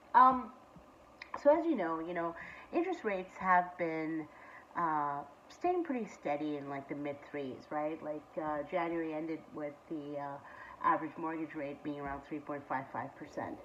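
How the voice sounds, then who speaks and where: A woman speaks in a very deep, low pitch with ordinary pitch variation. Her loudness swings widely, and her pace is moderate. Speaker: real estate agent. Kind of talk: market update video. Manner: casual, many fillers.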